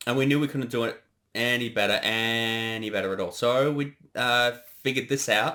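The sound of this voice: With a bright, sharp tone, a man speaks at a medium pitch and a moderate pace with ordinary pitch variation.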